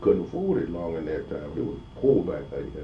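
A man at a moderate pace, somewhat breathy, with audible room echo. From US South, Georgia, moved to Florida as a child. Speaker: oral history interviewee. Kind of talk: oral history interview. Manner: halting.

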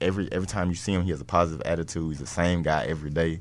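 In a Southern US accent, a man rattles along at a very fast pace in a very deep, low pitch. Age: 20s. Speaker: NFL cornerback. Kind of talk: casual interview.

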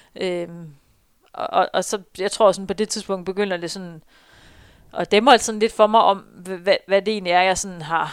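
Using an unremarkable speaking voice, a woman speaks at a moderate pace and medium pitch with fairly even intonation. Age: 30s. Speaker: runner and marketing employee. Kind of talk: interview, personal story.

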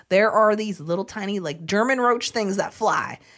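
A woman of medium pitch with an American accent and lively intonation, at a moderate pace, on a very clean recording with a silent background. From Florida. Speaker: podcast co-host, angler. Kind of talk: casual chat.

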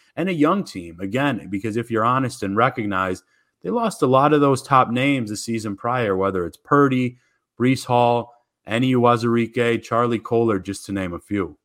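On a very clean recording with a silent background, a man speaks at a moderate pace in an ordinary speaking voice, medium in pitch with ordinary pitch variation. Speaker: college football site reporter. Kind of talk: casual interview chat.

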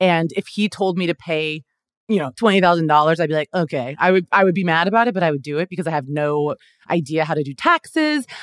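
Very fast speech from a woman with an American accent and fairly low pitch, dry and close with no echo, on a very clean recording with a silent background. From Kansas City area, US Midwest. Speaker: comedian and actor. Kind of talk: casual chat.

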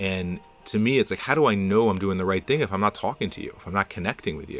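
A man's fairly low voice comes through noticeable background noise. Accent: American. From New Jersey suburbs. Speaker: city councilman. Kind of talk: interview. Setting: studio.

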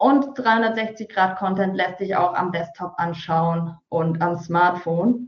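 The speaker, a woman, goes at a very slow pace. She uses lively intonation. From Hesse, Taunus (Germany). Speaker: marketing entrepreneur. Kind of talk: webinar presentation. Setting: online webinar.

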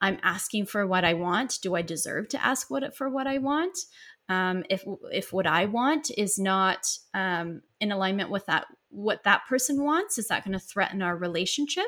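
A woman with an American accent speaks at a medium pitch in a bright, sharp tone, her intonation lively. The recording is very clean, with a silent background. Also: moderate pace. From US Midwest, rural Missouri. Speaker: psychotherapist. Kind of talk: interview. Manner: halting, many fillers.

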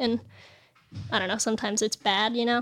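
A woman with a Californian accent speaks on a very clean recording with a silent background. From Los Angeles, California. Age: 20s. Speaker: pro skateboarder. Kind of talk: casual chat. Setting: studio.

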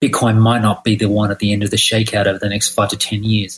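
His voice is somewhat breathy. The man talks with an Australian accent. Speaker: listener asking a question. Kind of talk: recorded listener question.

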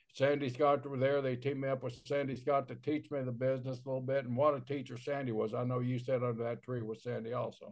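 A man with an American accent speaks very fast at a medium pitch. His intonation is monotone and flat, with hardly any pauses. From Oklahoma. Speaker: former pro wrestler, podcast co-host. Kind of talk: casual chat.

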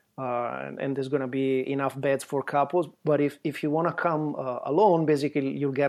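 Talking fairly quickly with hardly any pauses, a man with an Italian accent keeps a fairly high pitch. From Italy. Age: 50s. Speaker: travel photographer. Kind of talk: casual chat.

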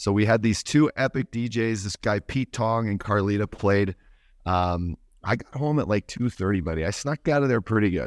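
In a plain, everyday voice, a man with fairly low pitch speaks at a moderate pace on a very clean recording with a silent background and a dry, close sound with no echo. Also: ordinary pitch variation. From Canada. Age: 40s. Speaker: podcast co-host, former hockey player. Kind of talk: casual chat.

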